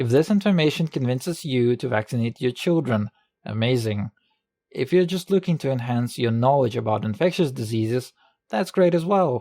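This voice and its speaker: The speaker has a non-native accent and keeps a moderate pace. The recording is very clean with a silent background, and the sound is dry and close with no echo. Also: man, medium pitch for a man, lively intonation. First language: not English. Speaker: medical student, educational video maker. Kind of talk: educational video narration.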